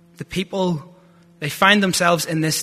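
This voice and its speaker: This man has a strong Northern Irish accent. His pitch is high for a man. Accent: Northern Irish, thick. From Northern Ireland (Lurgan). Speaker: theology student giving a sermon. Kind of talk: sermon. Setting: church.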